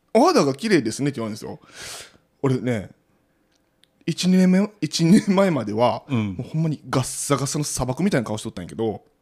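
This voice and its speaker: Talking at a fairly quick pace in a fairly high voice, a man makes very wide pitch swings and takes long, frequent pauses, on a very clean recording with a silent background. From Osaka, Sakai. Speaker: podcaster. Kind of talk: casual chat.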